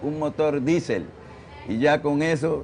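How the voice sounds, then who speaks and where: A man talks in this clip. There is noticeable background noise. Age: 60s. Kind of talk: documentary interview.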